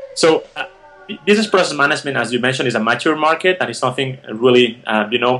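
A man with a Spanish accent talks at a very fast pace. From Spain (Barcelona). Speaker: tech startup founder and CEO. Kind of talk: interview. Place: home room. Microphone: video call.

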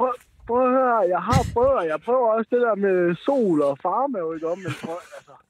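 Against light background noise, a man with a high pitch and lively intonation speaks at a fairly slow pace in a dry sound with no echo. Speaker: caller; podcast guest. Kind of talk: casual chat. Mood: laughing, playful. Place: studio. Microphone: studio mic.

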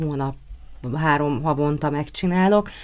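A woman's very deep, low pitch with ordinary pitch variation, a moderate pace and light background noise. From Hungary, Martonvásár; Hungary. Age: 30s. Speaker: pop singer; guest. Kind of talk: radio interview. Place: studio.

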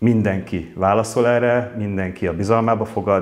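A man at a moderate pace with monotone, flat intonation. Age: 50s. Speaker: council candidate, electrical engineer; council candidate. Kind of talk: candidate interview. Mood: calm, earnest. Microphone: lapel.

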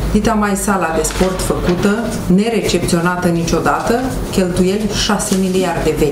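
Loud background noise runs beneath a woman talking fairly slowly. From Romania. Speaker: county council candidate. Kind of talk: press conference statement. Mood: critical, dissatisfied. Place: meeting room. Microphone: handheld.

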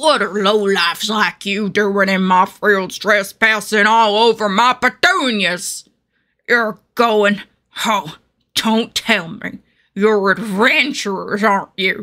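The speaker puts on a character voice with fairly even intonation. The pace is fairly slow. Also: woman, medium pitch for a woman. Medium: voice reel. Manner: grumpy, irritated.

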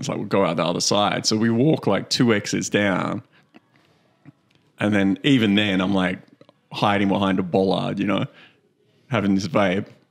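Against a quiet background, a man with a fairly low pitch speaks at a moderate pace in fairly even intonation, taking long, frequent pauses. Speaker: podcast co-host. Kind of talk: casual comedic storytelling. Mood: amused, laughing. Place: studio. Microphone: studio mic.

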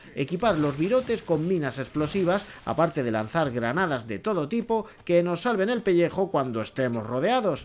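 Speech at a moderate pace with a Castilian accent. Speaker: video game journalist. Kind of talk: scripted narration.

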